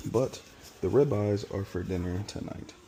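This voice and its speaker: A man whispering at a moderate pace. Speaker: cooking content creator. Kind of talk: cooking vlog tutorial. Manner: casual.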